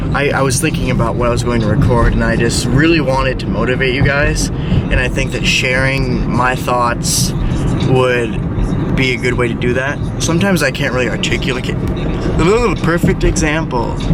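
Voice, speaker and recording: A man mumbles at a moderate pace with hardly any pauses and very even loudness, over noticeable background noise and audible room echo. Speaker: fitness motivation vlogger. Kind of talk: casual vlog monologue. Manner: mumbling; halting.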